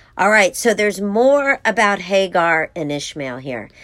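A woman's normal speaking voice, medium in pitch, at a fairly slow pace. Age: 40s. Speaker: women's devotional podcast host. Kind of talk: devotional teaching.

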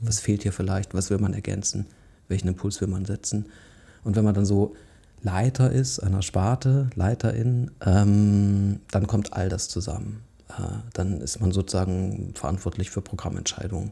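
On a very clean recording with a silent background, a man speaks at a moderate pace. His voice is somewhat breathy, with a dark, mellow tone. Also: fairly low pitch for a man, ordinary pitch variation. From southern Hesse (Odenwald), Germany. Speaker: theatre dance dramaturg and concert curator. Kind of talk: casual interview. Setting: home kitchen.

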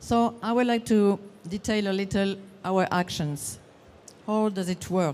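At a fairly slow pace and with long, frequent pauses, this speaker uses fairly even intonation in a French accent. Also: woman, medium pitch for a woman. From France. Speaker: session moderator, parks association representative. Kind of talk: conference presentation. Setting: conference session with audience. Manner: halting.

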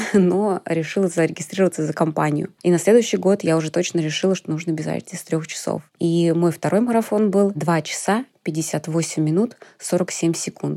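Her voice has a dark, mellow tone and fairly low pitch, as a woman speaks at a moderate pace with fairly even intonation. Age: 30s. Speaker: amateur runner. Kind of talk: personal testimony.

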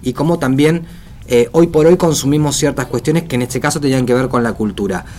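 This man talks with a fairly high pitch and ordinary pitch variation. He has an ordinary speaking voice. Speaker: radio host. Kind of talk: casual chat.

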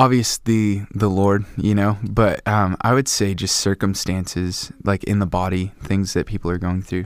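An unremarkable speaking voice, a man talks at a moderate pace with hardly any pauses. His pitch is fairly low and his intonation fairly even. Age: 20s. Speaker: worship leader. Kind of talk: casual interview chat.

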